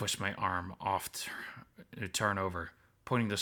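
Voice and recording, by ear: Someone reads a passage out loud, sounding natural.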